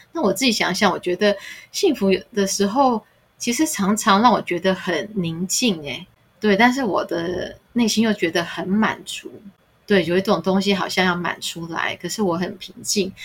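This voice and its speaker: The woman's medium-pitched voice has a somewhat breathy quality. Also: ordinary pitch variation, moderate pace. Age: middle-aged. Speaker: podcast co-host. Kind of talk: casual chat.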